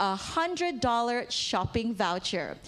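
The woman speaks at a high pitch. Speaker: event host. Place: hall. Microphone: handheld.

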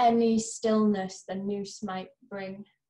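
Against a quiet background, a woman speaks in a somewhat breathy voice at a very slow pace. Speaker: poet, reader of own or anthology poem. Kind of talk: poem reading, reading aloud a poem. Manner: measured, tender, earnest; emotionally weighted, warm and empathetic. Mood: gentle, earnest. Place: home room. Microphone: webcam.

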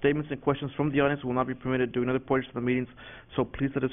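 This man's voice sits at a medium pitch. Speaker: school board president. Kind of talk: chairing a formal public meeting. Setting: public meeting room.

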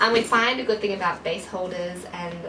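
Fairly quick delivery with ordinary pitch variation over clear background noise. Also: woman, fairly low pitch for a woman.

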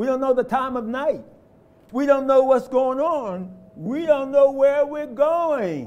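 A man's extremely high voice with an American accent, at a fairly slow pace with ordinary pitch variation and audible room echo. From US inner city. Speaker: lay preacher. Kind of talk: sermon. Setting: church. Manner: animated.

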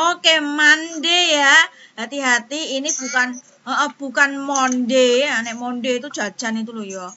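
This woman has a high voice with ordinary pitch variation and a moderate pace. Her loudness swings widely. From Indonesia. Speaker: primary school teacher. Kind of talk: online class lesson. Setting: video call. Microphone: video call.

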